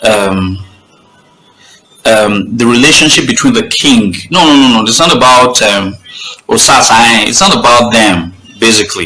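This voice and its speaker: Lively intonation at a moderate pace, with long, frequent pauses, very even loudness, audible room echo, and music in the background. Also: man, medium pitch for a man. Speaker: online talk show host. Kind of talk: live stream talk. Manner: halting.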